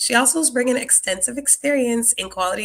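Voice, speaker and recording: Bright, sharp female speech with lively intonation. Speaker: podcast host and nurse. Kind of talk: podcast introduction. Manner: filler-heavy with um.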